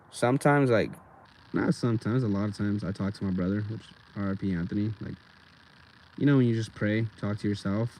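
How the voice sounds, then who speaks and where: A man speaks very fast in a fairly low pitch with fairly even intonation, broken by long, frequent pauses. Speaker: skateboarder livestreamer. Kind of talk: casual livestream chat. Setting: outdoors at skatepark. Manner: halting, occasional stutter.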